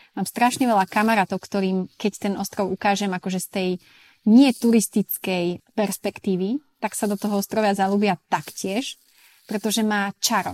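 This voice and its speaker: A woman with an ordinary speaking voice talks at a moderate pace and medium pitch, with fairly even intonation and a dry, close sound with no echo. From Slovakia, Sklabiňa (Turiec region). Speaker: expat working in Ibiza tourism and events. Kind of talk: casual interview. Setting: remote recording from Mallorca.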